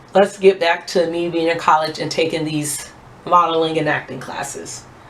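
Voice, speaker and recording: Fairly low-pitched woman's voice against noticeable background noise. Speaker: beauty vlogger. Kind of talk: casual chat.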